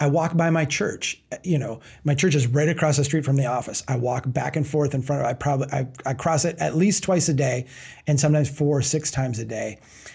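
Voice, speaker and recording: A man's somewhat breathy, fairly high-pitched voice at a fairly quick pace. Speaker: nonprofit founder and author. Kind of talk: interview conversation. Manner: halting with frequent repetitions.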